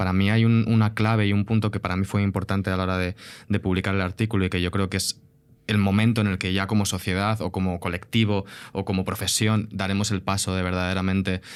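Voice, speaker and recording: The man talks at a fairly quick pace with a fairly low pitch. His intonation is fairly even, and the recording is very clean with a silent background. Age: young. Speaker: film producer. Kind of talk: podcast conversation. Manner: halting.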